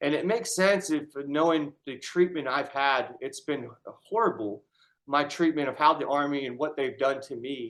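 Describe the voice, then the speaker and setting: A man's unremarkable speaking voice, fairly high in pitch, with ordinary pitch variation at a moderate pace. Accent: American. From Syracuse, New York, US. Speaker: army veteran with brain injury. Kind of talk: casual conversation.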